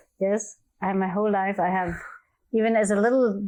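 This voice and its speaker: The tone is dark and mellow, the intonation monotone and flat. Delivery is at a moderate pace against a quiet background. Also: woman. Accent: non-native. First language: not English. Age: 50s. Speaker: energy healer. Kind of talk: interview.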